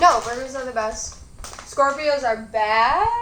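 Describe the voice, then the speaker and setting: Noticeable background noise and audible room echo surround a woman's high-pitched voice in a Michigan accent, with ordinary pitch variation. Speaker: mukbang youtuber. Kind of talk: casual chat while eating.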